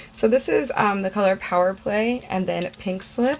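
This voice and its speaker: A woman with an American accent speaks at a fairly slow pace over noticeable background noise. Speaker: beauty YouTuber. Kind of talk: unboxing video, casual chat. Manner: long-winded, breathy speech.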